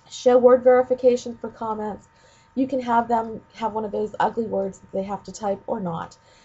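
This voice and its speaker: In an unremarkable speaking voice, the speaker goes at a moderate pace with fairly even intonation and big swings in loudness. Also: woman, fairly high pitch for a woman. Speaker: ed tech trainer for teachers. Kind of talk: screencast tutorial. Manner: casual with many fillers.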